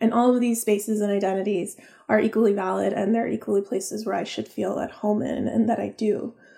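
A woman talks at a very fast pace with vocal fry and monotone, flat intonation. Her voice has a medium pitch and a dark, mellow tone. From Florida and Texas, born in Peru. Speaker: novelist. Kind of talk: casual chat.

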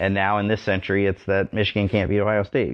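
In a plain, everyday voice, a man talks at a fairly quick pace with a fairly low pitch. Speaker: podcast host. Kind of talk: casual sports talk podcast.

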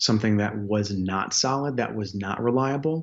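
A man speaks with an American accent in a plain, everyday voice. His pitch is fairly low, with ordinary pitch variation. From Chicago, US Midwest. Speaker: life coach and counselor. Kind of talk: radio interview.

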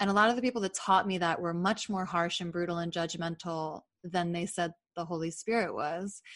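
With a normal speaking voice, a woman talks at a fairly quick pace using fairly even intonation. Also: fairly low pitch for a woman, quiet background. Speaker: podcast host and author. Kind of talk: casual interview conversation.

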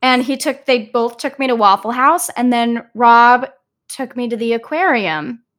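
An American accent at a moderate pace with ordinary pitch variation, in a very clean recording with a silent background. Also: woman, high pitch for a woman. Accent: noticeable accent, teased by a castmate. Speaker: Broadway actress. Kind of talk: casual interview.

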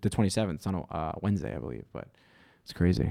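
Talking very fast, a man with a fairly low voice and a New York accent sounds animated. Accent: New York, Staten Island. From Staten Island, New York. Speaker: actor and comedian. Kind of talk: casual chat, podcast interview. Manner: animated, profane.

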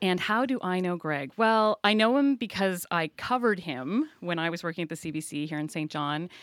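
A woman speaks in a normal speaking voice with lively intonation at a moderate pace. The sound is dry and close with no echo, a very clean recording with a silent background. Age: 40s. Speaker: journalist and media consultant. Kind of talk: casual interview.

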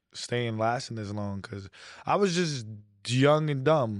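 A man with a New York accent talks at a fairly slow pace and medium pitch, with ordinary pitch variation, against a quiet background. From New York City. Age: 30s. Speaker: social media content creator. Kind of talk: casual chat. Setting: studio.

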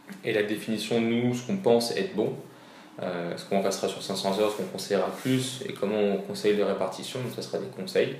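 A man's fairly low voice carries fairly even intonation, with noticeable noise in the background and audible echo from the room. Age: 20s. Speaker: physiotherapist. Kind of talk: interview.

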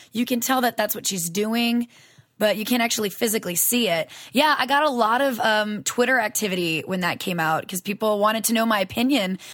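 A woman talks at a fairly quick pace with a Southern US accent and an animated tone. Her voice is fairly high, with ordinary pitch variation. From US South. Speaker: voice actress. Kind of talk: casual interview.

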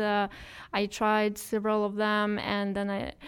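A woman with a Russian accent at a very slow pace, on a very clean recording with a silent background. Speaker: expat travel blogger. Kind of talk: casual chat.

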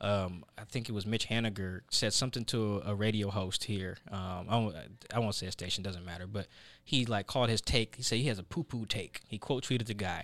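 An unremarkable speaking voice with an American accent moves at a fairly quick pace. The recording is very clean, with a silent background. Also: man, fairly low pitch for a man, fairly even intonation. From US Northwest, South Seattle. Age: 20s. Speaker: sports journalist. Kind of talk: casual interview.

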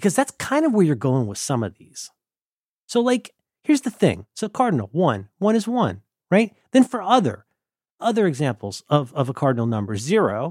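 In a very clean recording with a silent background and a dry, close sound with no echo, a man with an American accent speaks at a moderate pace in a fairly high pitch with very wide pitch swings. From Ohio, US Midwest. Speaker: podcast host. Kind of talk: casual chat.

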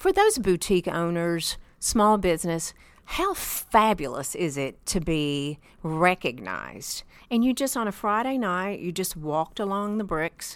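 On a very clean recording with a silent background, a woman with an American accent speaks fairly slowly at medium pitch with lively intonation. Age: 50s. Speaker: chef and podcast host. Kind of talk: casual chat. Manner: animated.

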